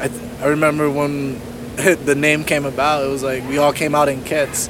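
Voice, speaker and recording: In an American accent, a speaker goes at a moderate pace amid noticeable background noise and audible room echo. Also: man. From New Jersey. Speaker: amateur track cyclist. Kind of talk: casual chat. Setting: outdoors.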